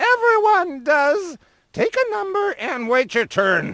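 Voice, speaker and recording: A woman uses a squeaky, put-on character voice pitched high, with very wide pitch swings. She speaks at a fairly slow pace. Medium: video game. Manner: sniffy, clears throat.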